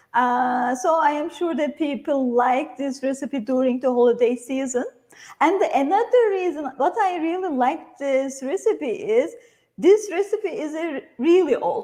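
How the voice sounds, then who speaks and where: A woman with a Turkish accent speaks at a high pitch in a dark, mellow tone, with lively intonation and a fairly slow pace. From Turkey. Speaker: cooking instructor. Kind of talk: cooking tutorial. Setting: online livestream from a kitchen.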